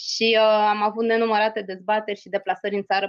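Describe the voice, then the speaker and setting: A woman speaks at a very fast pace. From Romania, Craiova. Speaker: EU policy advisor. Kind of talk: interview.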